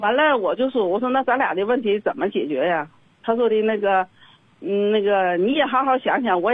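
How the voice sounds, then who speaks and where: Lively intonation, very even loudness and a fairly quick pace mark this voice with a Northeastern Chinese accent. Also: woman. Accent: Northeastern Mandarin. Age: 60s. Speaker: caller. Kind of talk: phone-in advice call.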